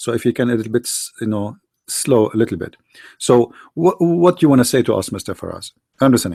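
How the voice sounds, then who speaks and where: Recorded very cleanly with a silent background and a dry, close sound with no echo, a man with an Arabic accent speaks at a very fast pace, with medium pitch, a dark, mellow tone and lively intonation. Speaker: debate show host. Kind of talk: heated debate. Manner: interrupting, insistent.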